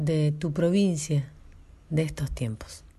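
A woman's very deep, low, somewhat breathy voice, dark and mellow in tone, at a very slow pace with ordinary pitch variation over a quiet background. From northern La Pampa, Argentina. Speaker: radio host. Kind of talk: interview.

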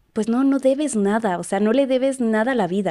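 On a very clean recording with a silent background, a woman speaks in a normal speaking voice. She keeps a moderate pace with ordinary pitch variation. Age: 20s. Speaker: psychologist. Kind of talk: casual chat.

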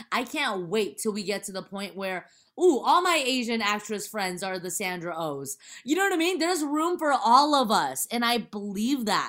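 A woman with an American accent talks in an animated tone at a fairly high pitch, her pitch swinging very widely. Her pace is moderate. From US, Chinese American. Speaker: actress and stand-up comedian. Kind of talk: casual chat.

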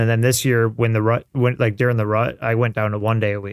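A man's monotone, flat delivery at a medium pitch and a fairly quick pace. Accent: American. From Michigan, Detroit area. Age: 30s. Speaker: plumber and hunter. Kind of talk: casual chat.

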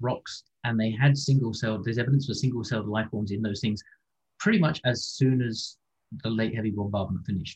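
A man speaks at a fairly quick pace and a medium pitch, somewhat breathy. His pitch varies in an ordinary way. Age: 50s. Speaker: ocean scientist. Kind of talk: interview.

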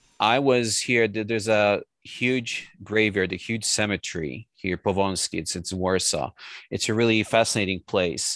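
A man speaks with a Polish accent at a fairly low pitch, with ordinary pitch variation. The sound is dry and close with no echo, and the background is quiet. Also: moderate pace. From Poland. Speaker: translator and writer. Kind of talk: interview.

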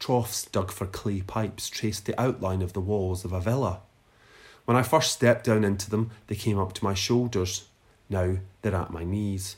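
On a very clean recording with a silent background, a man with a Lanarkshire accent speaks at a fairly low pitch, sounding somewhat breathy. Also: moderate pace. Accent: Scottish (Lanarkshire). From Scotland, Lanarkshire (Newarthill near Motherwell). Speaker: writer and literary podcast host. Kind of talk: reading aloud own essay; casual chat.

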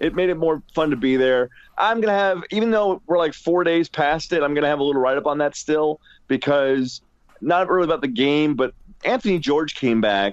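Lively in intonation, a man with an unremarkable speaking voice talks at a fairly quick pace and fairly high pitch. His loudness stays very even throughout. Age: 30s.

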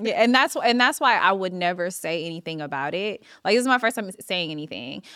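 A woman with a Californian accent speaks at a medium pitch and a fairly quick pace, her bright, sharp tone marked by very wide pitch swings. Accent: Californian, noted by host. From Los Angeles, California. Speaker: TV showrunner and writer. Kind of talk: casual chat. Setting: studio.

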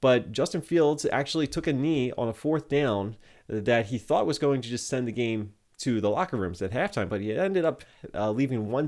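Over a silent background in a very clean recording, a man with an unremarkable speaking voice talks at medium pitch and a fairly quick pace, his intonation lively. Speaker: sports podcast host and streamer. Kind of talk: live postgame stream recap and fan chat, with play-by-play style recounting of the game. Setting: live Twitch stream. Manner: conversational, laughing, rueful and easygoing.

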